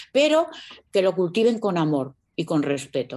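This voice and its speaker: The woman speaks at a moderate pace with very wide pitch swings. The background is quiet. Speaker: singer. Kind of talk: interview. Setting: at home.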